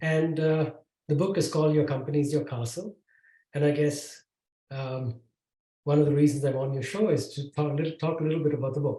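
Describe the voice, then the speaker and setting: A man's fairly quick, somewhat breathy voice, fairly high and dark and mellow in tone, with fairly even intonation and long, frequent pauses. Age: 60s. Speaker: tech executive and author. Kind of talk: podcast interview. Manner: halting, many fillers.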